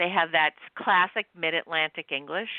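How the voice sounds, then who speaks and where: With an American accent, a woman speaks in an animated tone at a moderate pace. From US Northeast, North Shore of Long Island, New York. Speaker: romance author. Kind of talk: casual chat.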